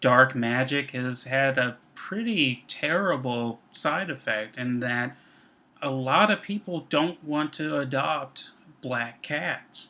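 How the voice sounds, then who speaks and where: A man at a medium pitch and a very slow pace, his tone bright and sharp. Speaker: instructor. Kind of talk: recorded lecture. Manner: measured tone.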